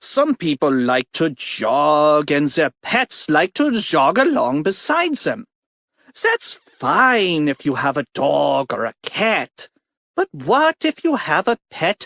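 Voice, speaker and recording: A put-on character voice with a pompous tone, middle pitch and a fairly slow pace. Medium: read story.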